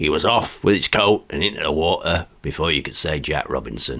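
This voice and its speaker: Putting on a raspy character voice, a man speaks at a moderate pace with a very deep, low pitch and lively intonation. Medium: read story. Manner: chatty, colloquial.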